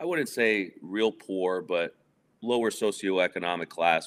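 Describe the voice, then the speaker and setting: Fairly even intonation and a moderate pace carry this voice with a New York accent. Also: man. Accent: New York area American. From New Jersey, near Manhattan. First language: Spanish. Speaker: guest discussing divorce. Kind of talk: casual interview.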